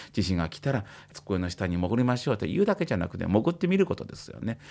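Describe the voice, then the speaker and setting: A somewhat breathy man talks at a fairly quick pace on a very clean recording with a silent background. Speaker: psychiatrist. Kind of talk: explanatory talk on radio. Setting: radio studio. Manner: casual, uses many fillers.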